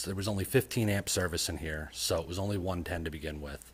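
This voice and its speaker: On a very clean recording with a silent background, a man speaks in a very deep, low voice with ordinary pitch variation. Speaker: DIY car builder vlogger. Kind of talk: casual vlog narration. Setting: home garage. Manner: softly spoken at start.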